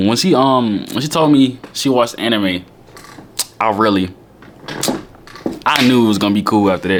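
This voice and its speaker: A man talks fairly quickly over noticeable background noise. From Alabama, Birmingham. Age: 20s. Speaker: YouTuber. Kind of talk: casual Q&A vlog.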